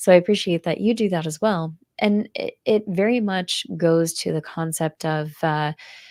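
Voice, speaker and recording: A woman with a fairly low pitch and ordinary pitch variation speaks with hardly any pauses, in a very clean recording with a silent background and a dry, close sound with no echo. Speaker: book video creator. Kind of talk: interview. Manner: slow; even, easygoing pace.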